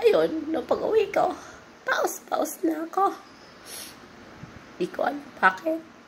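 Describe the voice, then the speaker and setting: A woman speaks in an extremely high voice with very wide pitch swings, very slowly. Her long pauses come often, and background noise is noticeable. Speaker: call center agent, vlogger. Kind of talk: casual vlog.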